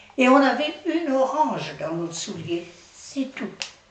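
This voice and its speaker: A woman talks at a very slow pace, her pitch swinging very widely. Noticeable background noise and audible room echo surround her voice. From France, Nantes area. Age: 80s+. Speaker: retirement home resident. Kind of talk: testimony. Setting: interview by children.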